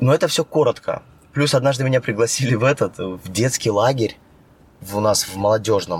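A somewhat breathy man talks at a fairly quick pace with a medium pitch and ordinary pitch variation. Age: 30s. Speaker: actor and stunt coordinator. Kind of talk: casual chat.

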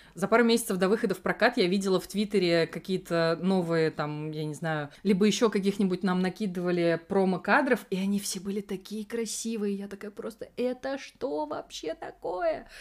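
Against noticeable background noise, a woman speaks at medium pitch and a moderate pace with ordinary pitch variation and hardly any pauses. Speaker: podcast co-host. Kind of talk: casual chat about films. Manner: animated, swears often.

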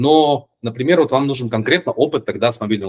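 An ordinary speaking voice from a man, fairly quick in pace, with ordinary pitch variation and a dry, close sound with no echo. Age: 30s. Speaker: game design teacher. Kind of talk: casual chat.

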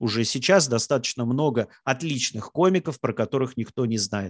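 A man with a plain, everyday voice speaks at a moderate pace with lively intonation, the sound dry and close with no echo against a quiet background. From Russia, Samara. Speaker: stand-up comedian. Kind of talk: casual talk, online Q&A.

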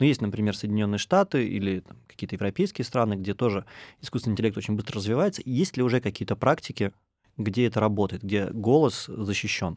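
Speaking very fast in a fairly low voice, a man shows ordinary pitch variation on a very clean recording with a silent background. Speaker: podcast host. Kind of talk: interview. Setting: studio.

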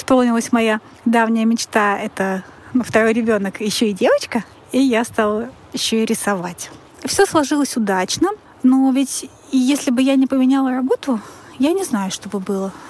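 The speaker talks at a moderate pace with ordinary pitch variation, and there is noticeable background noise. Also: woman. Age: 30s. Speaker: listener sharing a story. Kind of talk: personal story.

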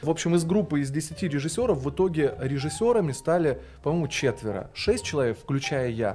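A man speaks in a fairly high pitch with lively intonation. His pace is fairly quick, and there is noticeable background noise. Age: 30s. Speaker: TV news presenter and speech teacher. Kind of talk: casual podcast interview.

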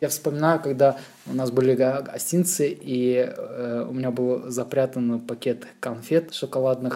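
Here a man has a plain, everyday voice, fairly high in pitch, with ordinary pitch variation. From Moscow region, Russia. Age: 30s. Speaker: graphic designer. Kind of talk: casual chat.

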